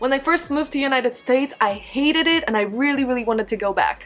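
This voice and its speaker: A woman with a Polish accent speaks loudly at a high pitch and a fairly quick pace, with ordinary pitch variation. Noticeable background noise can be heard. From Poland. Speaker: beauty vlogger. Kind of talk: casual vlog monologue.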